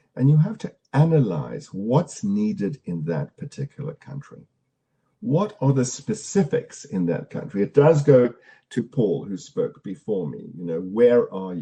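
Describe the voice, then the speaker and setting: Speaking at a fairly slow pace, a man with a medium-pitched, somewhat breathy voice and a dark, mellow tone sends his pitch through very wide swings. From South Africa. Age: 60s. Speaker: storytelling practitioner and speaker. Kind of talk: online conference Q&A. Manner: halting, with frequent repetitions.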